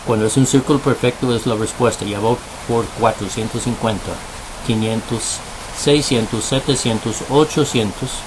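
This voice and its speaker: Noticeable background noise runs under the recording. A man talks at medium pitch and a moderate pace. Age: 60s. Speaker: video blogger on spiritual topics. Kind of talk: bilingual monologue with pendulum demonstration. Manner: switches between English and Spanish; counting aloud.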